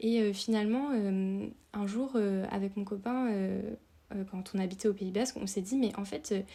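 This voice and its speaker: A woman with a dark, mellow, somewhat breathy tone speaks at a moderate pace with fairly even intonation. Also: medium pitch for a woman. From France, Dordogne. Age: 30s. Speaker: outdoor content creator. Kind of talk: podcast interview. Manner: hesitant, many fillers.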